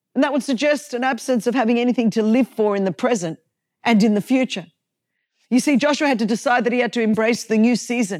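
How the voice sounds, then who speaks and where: A woman's fairly high-pitched, animated voice at a very fast pace, with ordinary pitch variation and very even loudness, dry and close with no echo on a very clean recording with a silent background. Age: 50s. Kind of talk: devotional teaching monologue.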